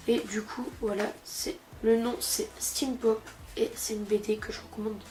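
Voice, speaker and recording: Noticeable noise sits behind a woman with a fairly high pitch. Her loudness rises and falls sharply. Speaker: comic book youtuber. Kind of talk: casual vlog review. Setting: sitting on a couch at home. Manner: fast; hesitant, many fillers.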